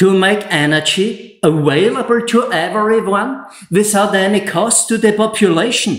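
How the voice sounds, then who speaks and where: A man with an Austrian accent, high-pitched for a man, at a fairly slow pace with ordinary pitch variation, very even loudness and audible room echo. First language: German. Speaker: solar installer and YouTuber. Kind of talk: scripted presentation; tutorial. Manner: less emotional, measured.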